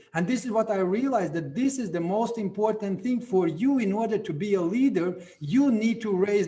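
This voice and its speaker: A man speaks at a high pitch. Noticeable background noise is present. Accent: Latvian. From Latvia. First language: Latvian. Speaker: network marketing leader. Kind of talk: event speech.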